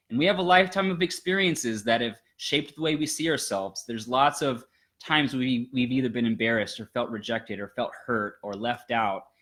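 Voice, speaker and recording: Lively intonation and an animated tone mark this man's fairly quick speech, recorded very cleanly against a silent background. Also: medium pitch for a man. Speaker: life coach and channel host. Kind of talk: casual chat. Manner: loud, intense.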